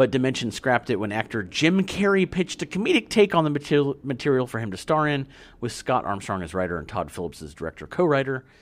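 Over a very clean recording with a silent background, a man with a medium pitch talks at a very fast pace with very wide pitch swings and hardly any pauses. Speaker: podcast host. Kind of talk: casual chat.

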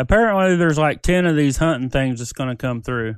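A man speaks with a slight Southern US accent and ordinary pitch variation against a quiet background. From US South. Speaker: podcast co-host. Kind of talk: casual chat.

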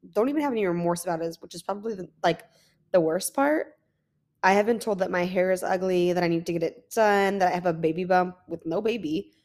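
Talking at a very fast pace, a woman uses an animated tone at a medium pitch. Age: 20s. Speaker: podcast host. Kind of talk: casual monologue. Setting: lying down at home.

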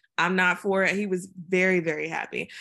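The background is quiet as a woman speaks with an American accent. Her medium-pitched voice has a bright, sharp tone. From Virginia (Chesapeake), US South. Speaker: poet. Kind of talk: casual interview.

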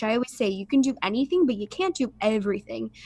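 Lively intonation in a woman's somewhat breathy, fairly high-pitched voice. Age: 20s. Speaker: holistic coach and yoga teacher. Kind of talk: casual interview.

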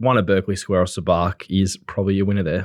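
In an Australian accent, the speaker goes at a very fast pace with monotone, flat intonation. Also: man. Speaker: racing podcast co-host.

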